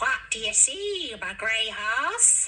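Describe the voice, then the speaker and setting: A squeaky, high put-on character voice with very wide pitch swings. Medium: read story.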